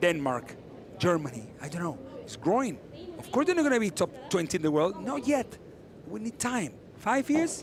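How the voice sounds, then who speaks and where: A man with a Spanish accent talks in a high pitch, his voice swinging very widely in pitch and heavily in loudness. He leaves long, frequent pauses. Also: moderate pace. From Argentina. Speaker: padel commentator, former player. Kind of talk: live sports commentary. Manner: casual, conversational.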